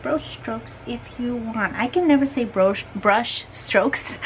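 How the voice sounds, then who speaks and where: Against noticeable background noise, a woman with a strong non-native accent speaks at a fairly slow pace. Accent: strong foreign. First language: not English. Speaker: art youtuber. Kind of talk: casual chat while painting. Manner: halting.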